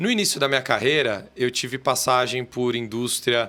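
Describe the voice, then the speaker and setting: Bright, sharp tone from a man, pitched in the middle range. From Brazil, São Paulo city. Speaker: corporate lawyer. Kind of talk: podcast interview. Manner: halting, with many fillers.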